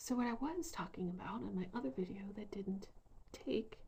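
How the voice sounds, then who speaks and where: A soft-spoken woman talks at a fairly slow pace, somewhat breathy. Her pitch is medium, with ordinary variation. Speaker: spiritual vlogger. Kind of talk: casual vlog monologue. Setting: bedroom.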